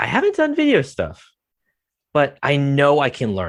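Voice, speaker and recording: The recording is very clean with a silent background, carrying a man's fairly high-pitched voice. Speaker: esports broadcaster. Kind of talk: podcast interview. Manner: not a very clear talker; halting, repeats words.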